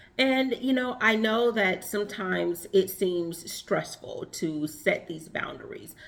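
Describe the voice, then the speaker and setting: With vocal fry and lively intonation, a woman speaks at a fairly slow pace. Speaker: relationship and femininity coach. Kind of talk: advice monologue.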